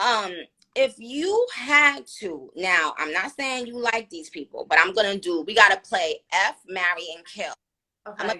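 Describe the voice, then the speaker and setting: A woman with a New York accent talks at a medium pitch and a fairly slow pace, over music in the background. Her intonation is lively, with big swings in loudness. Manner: casual, slangy.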